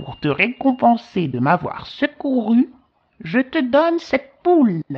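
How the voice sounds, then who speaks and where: A female-sounding, put-on character voice sits at a high pitch and swings very widely in pitch. It moves at a fairly slow pace. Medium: read story.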